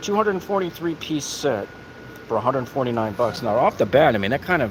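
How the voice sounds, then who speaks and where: A man speaks very fast with lively intonation. Noticeable background noise runs underneath. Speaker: YouTube tool reviewer. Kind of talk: live-stream store walkthrough. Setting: inside a home improvement store. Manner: casual, chatty.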